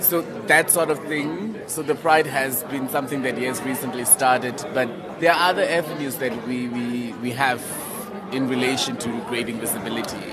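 A man is speaking amid crowd noise. The room echo is audible. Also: medium pitch for a man, ordinary pitch variation, moderate pace. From Namibia. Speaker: pageant contestant and LGBTI activist. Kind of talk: interview. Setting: hotel event launch.

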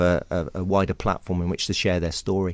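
With an English accent, a man speaks at a fairly quick pace in a very deep, low pitch over a quiet background. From England, Somerset (West Country). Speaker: historian and author. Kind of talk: radio interview. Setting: radio studio. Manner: animated.

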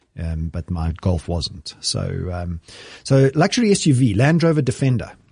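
Against a quiet background, a man speaks at a moderate pace with very wide pitch swings and a somewhat breathy voice, the sound dry and close with no echo. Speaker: podcast host. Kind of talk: casual chat. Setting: studio.

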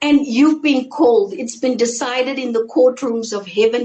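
Her intonation is lively and her pitch is high for a woman. The woman talks at a moderate pace. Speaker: ministry worker giving testimony. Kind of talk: testimony. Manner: sincere tone.

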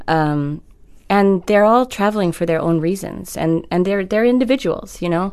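A woman with a fairly low voice uses a normal speaking voice in an American accent, with ordinary pitch variation. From US, Maryland. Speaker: novelist. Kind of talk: interview. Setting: studio.

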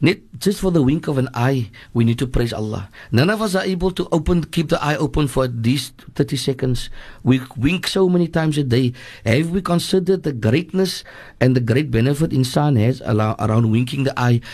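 A man's fairly high, somewhat breathy voice with lively intonation at a moderate pace, over a quiet background. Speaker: imam. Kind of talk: religious talk on radio.

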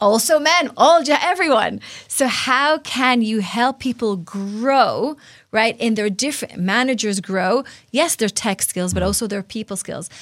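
Speaking at a fairly slow pace, a woman with an Israeli accent has a fairly high pitch and lively intonation. The recording is very clean, with a silent background. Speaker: interview guest, workplace culture leader.

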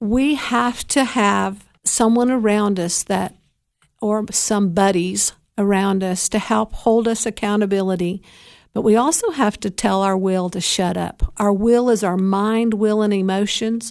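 Over a quiet background, a woman talks at a fairly slow pace with a medium pitch and ordinary pitch variation. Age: 60s. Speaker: recovery podcast host. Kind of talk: faith-based talk on addiction recovery. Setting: solo podcast recording. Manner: halting, with frequent fillers.

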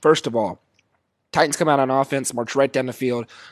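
The background stays quiet. A man talks very fast. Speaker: sports podcast host. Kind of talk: solo sports commentary. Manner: animated.

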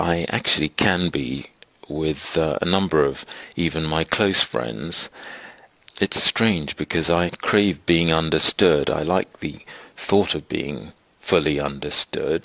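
A man's very deep, low voice with a bright, sharp tone and vocal fry, at a very slow pace with ordinary pitch variation, in a dry, close sound with no echo. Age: 50s. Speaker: interviewee. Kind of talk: recorded reflections.

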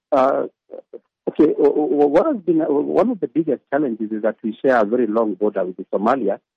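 A man with a Kenyan accent at a fairly quick pace. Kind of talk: interview. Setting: phone call.

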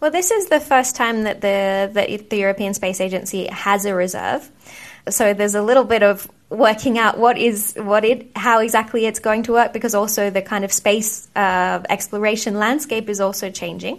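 Against a quiet background, a woman with an Australian accent talks at a moderate pace. Her voice is fairly high, with ordinary pitch variation. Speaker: astronaut. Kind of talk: interview.

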